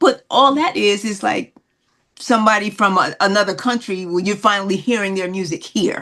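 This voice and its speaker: A woman with an American accent, medium pitch, a bright, sharp tone, ordinary pitch variation and a moderate pace. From Newark, New Jersey. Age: 70s. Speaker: singer. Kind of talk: interview. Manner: halting.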